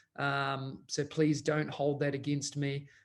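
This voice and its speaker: A man's fairly high voice in a flat monotone, with audible room echo. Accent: New Zealand. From New Zealand. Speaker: educational technology consultant. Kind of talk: conference presentation.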